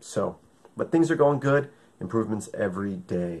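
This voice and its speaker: Using lively intonation, a man speaks at a fairly slow pace. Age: 30s. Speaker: video blogger. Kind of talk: video diary. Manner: casual, hesitant with fillers. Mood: upbeat, expressive. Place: home room. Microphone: webcam.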